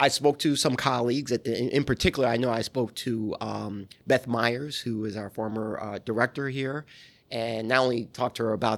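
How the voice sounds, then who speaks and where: An American-accented man at a medium pitch and moderate pace, fairly even intonation, on a very clean recording with a silent background. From New York. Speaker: archivist. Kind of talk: interview. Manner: halting.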